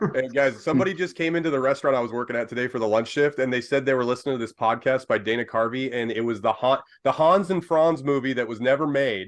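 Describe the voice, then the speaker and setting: This man's medium-pitched voice moves very fast, with ordinary pitch variation. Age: 30s. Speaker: podcast host. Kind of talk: casual chat. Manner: halting.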